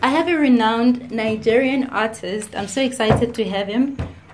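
A woman speaks at a fairly high pitch and a moderate pace. There is noticeable background noise. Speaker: podcast host. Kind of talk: interview.

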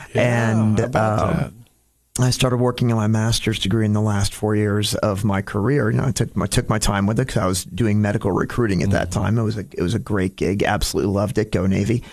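The speaker talks at a very fast pace with an American accent. Intonation stays fairly even, and loudness is very even throughout. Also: man, fairly low pitch for a man. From Florida (Dunedin), New York/Connecticut family. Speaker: county commissioner, navy veteran. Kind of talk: radio interview. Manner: talks with his hands, many fillers.

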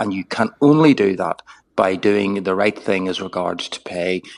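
With a dry, close sound and no echo, a man speaks at a moderate pace in an unremarkable speaking voice with a fairly low pitch. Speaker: former health service chief executive, commentator. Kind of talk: radio interview, analysis.

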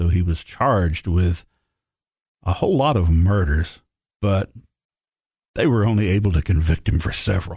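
In a Tennessee accent, a man with a very deep, low pitch and a dark, mellow, somewhat breathy tone speaks at a moderate pace with ordinary pitch variation, very even loudness and long, frequent pauses against a quiet background. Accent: Southern US (Tennessee). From Tennessee, Upper Cumberland. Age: 50s. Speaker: history professor. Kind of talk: history lecture. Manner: halting, many fillers.

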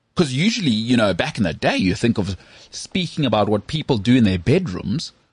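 The voice is somewhat breathy and moves through very wide pitch swings. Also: man. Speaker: sports podcast host. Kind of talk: casual chat. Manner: animated.

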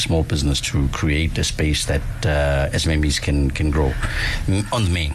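A man speaks at a moderate pace in a very deep, low voice, with noticeable background noise. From South Africa, Soweto. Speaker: city councillor. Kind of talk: radio interview.

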